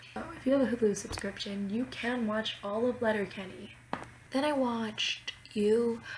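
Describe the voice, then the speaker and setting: Noticeable background noise runs under a woman's voice. She speaks at a moderate pace with a fairly high pitch and fairly even intonation. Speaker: student. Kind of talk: casual talk to camera.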